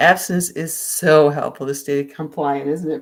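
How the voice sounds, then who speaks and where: Fairly slow and fairly even in intonation, a woman talks in a very deep, low pitch. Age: 60s. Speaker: vlogger sharing a plant-based diet. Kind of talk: casual livestream chat answering viewer comments. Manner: halting, with many restarts and fillers.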